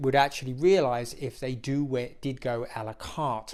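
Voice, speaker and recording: A man with a British accent and fairly high pitch speaks at a moderate pace on a very clean recording with a silent background. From UK. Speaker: media industry analyst. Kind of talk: solo commentary video.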